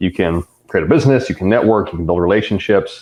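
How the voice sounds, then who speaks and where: A man speaks in a normal speaking voice with an American accent. His pitch is fairly low, and his intonation is lively. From US West Coast, Riverside County, California. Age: 30s. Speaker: personal trainer and fitness writer. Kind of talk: podcast interview. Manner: casual, filler-heavy.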